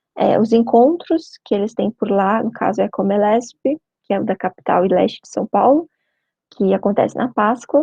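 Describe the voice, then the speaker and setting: With a fairly high pitch and lively intonation, a woman speaks at a moderate pace in a dark, mellow, somewhat breathy tone, the sound dry and close with no echo. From Brazil, Curitiba (Paraná). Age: 20s. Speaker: veterinary student and spiritist youth speaker. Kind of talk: short talk / mini-lecture. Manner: conversational, informal.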